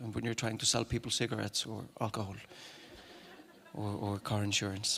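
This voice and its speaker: The speaker has an Icelandic accent and talks at a fairly quick pace in a monotone, flat intonation. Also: man. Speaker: actor and singer. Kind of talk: talk to an audience. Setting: stage with audience. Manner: halting.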